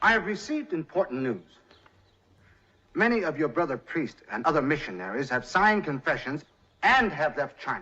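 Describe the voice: A man puts on a character voice, fairly high in pitch with a bright, sharp tone. He moves at a moderate pace with big pitch swings.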